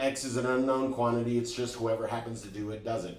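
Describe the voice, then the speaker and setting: In a room with audible echo, a man speaks in an energetic tone at a very fast pace. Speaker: driving instructor. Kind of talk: online class lecture. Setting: live stream. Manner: stutter.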